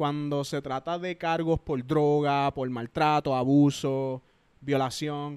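Against a quiet background, a man speaks at a very slow pace. His fairly high voice stays monotone and flat. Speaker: YouTuber and army veteran; podcast guest. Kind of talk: casual chat. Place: home room. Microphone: handheld.

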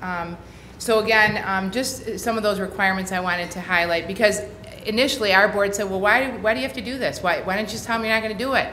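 With noticeable background noise and audible room echo, a woman at medium pitch talks at a very fast pace with ordinary pitch variation. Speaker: county mental health agency director presenting. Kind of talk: presentation to county board. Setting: county board meeting room. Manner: hesitant, many fillers.

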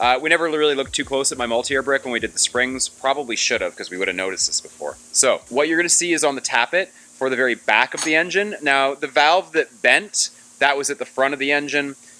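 A man rushes along at a very fast pace with hardly any pauses and ordinary pitch variation, the sound dry with no echo. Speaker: car builder vlogger. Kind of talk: casual vlog chat. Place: workshop. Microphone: phone near.

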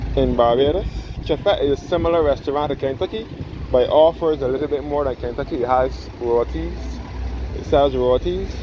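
A man talks at a fairly quick pace. The sound is dry with no echo, though there is noticeable background noise. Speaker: local guide vlogger. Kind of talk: casual tour commentary. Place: street. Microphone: phone near.

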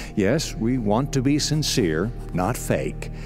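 Faint music plays behind a man as he talks. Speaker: radio broadcast announcer and message writer. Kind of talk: radio spoken-word inspirational message.

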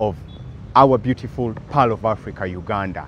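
At a moderate pace with ordinary pitch variation, the voice sounds dry with no echo, over light background noise. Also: man. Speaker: travel vlogger. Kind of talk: casual vlog chat. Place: street. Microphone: lapel.

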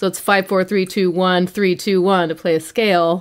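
Her voice fairly low and her tone animated, a woman comes through on a very clean recording with a silent background. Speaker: microtonal musician. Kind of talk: casual chat. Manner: animated, laughs often.

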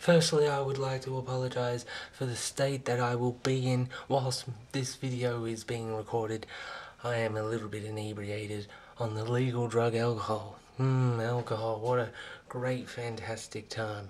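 A man speaks at a moderate pace with monotone, flat intonation. His voice is somewhat breathy. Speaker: vlogger. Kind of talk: casual vlog chat. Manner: tipsy, slightly slurred rambling speech. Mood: tipsy, playful. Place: home room. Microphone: webcam.

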